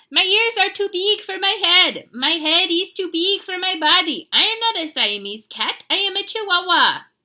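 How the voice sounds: In a put-on character voice with a Spanish accent, the speaker projects loudly at a moderate pace with hardly any pauses. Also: woman, extremely high pitch for a woman.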